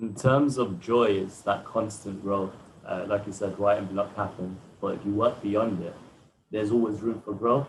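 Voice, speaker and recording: A man speaks with a somewhat breathy, fairly low voice, fairly even intonation and a moderate pace. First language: Arabic. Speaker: poet. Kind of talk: panel discussion.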